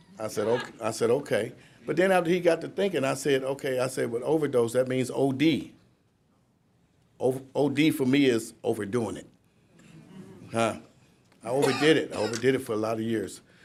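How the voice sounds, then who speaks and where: A man's medium-pitched voice with an American accent, ordinary pitch variation, a fairly quick pace and long, frequent pauses. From Cleveland, Ohio. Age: 60s. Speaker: recovery speaker, sober house founder. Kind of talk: speech at a graduation ceremony, testimony. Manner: halting, with repetitions and fillers.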